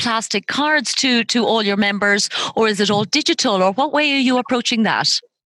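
An Irish-accented woman speaks at a moderate pace in a bright, sharp, enthusiastic tone. The sound is dry and close, with no echo. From Ireland. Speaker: podcast host, loyalty consultant. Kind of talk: interview.

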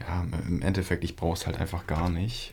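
A somewhat breathy male voice moves along at a moderate pace. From northern Germany, Flensburg area. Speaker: podcast co-host. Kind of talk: casual chat.

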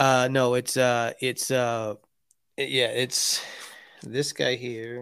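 A man with a medium pitch speaks in a monotone, flat intonation at a very slow pace, leaving long, frequent pauses, in a very clean recording with a silent background. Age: 40s. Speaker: card collecting podcast co-host. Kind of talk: casual chat.

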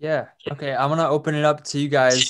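A man speaks fairly quickly with a Californian accent. The background is quiet. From San Francisco Bay Area. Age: 20s. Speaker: podcast host and rapper. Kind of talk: casual interview chat. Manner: halting, many fillers.

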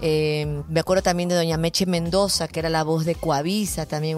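There is noticeable background noise behind this woman's very deep, low voice. She keeps a moderate pace and fairly even intonation. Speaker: TV presenter and voice-over artist. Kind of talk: interview. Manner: hesitant fillers.

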